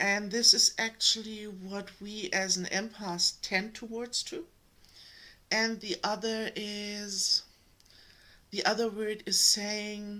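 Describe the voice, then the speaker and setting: A woman with a German accent, medium pitch and a bright, sharp tone, at a very slow pace with monotone, flat intonation. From Germany. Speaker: energetic healer and spiritual channel host. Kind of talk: spiritual talk to camera. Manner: hesitant, many fillers.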